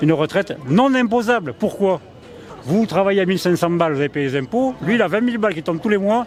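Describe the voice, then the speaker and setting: Noticeable background noise sits behind a man with a high voice. He sounds animated, speaking fairly quickly with lively intonation. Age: 60s. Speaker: street interviewee. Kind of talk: vox pop interview.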